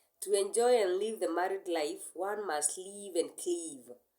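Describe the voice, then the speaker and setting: Audible room echo carries a woman's dark, mellow voice, medium in pitch, spoken at a fairly slow pace with ordinary pitch variation. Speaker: teacher. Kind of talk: sermon.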